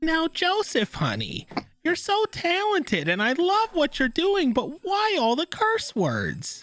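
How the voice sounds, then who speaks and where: The speaker uses a put-on character voice and delivers the lines at a fairly slow pace. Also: female-sounding voice, extremely high pitch for a woman. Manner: motherly, gently scolding.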